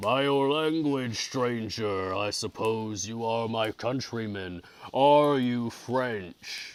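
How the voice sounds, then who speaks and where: A man puts on a character voice at a medium pitch. He talks at a very slow pace with ordinary pitch variation. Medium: read story. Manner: gentle, courteous.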